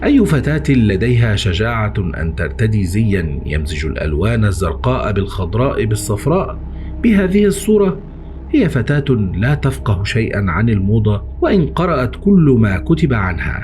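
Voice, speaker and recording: Over noticeable background noise, a man with an Egyptian accent speaks at a fairly low pitch and fairly slow pace, his pitch swinging very widely while his loudness stays very even. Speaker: horror story narrator. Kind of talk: horror story reading.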